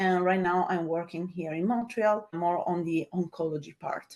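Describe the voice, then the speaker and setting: Her accent is Italian. The woman talks at a moderate pace. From Italy. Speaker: data scientist. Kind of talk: webinar interview.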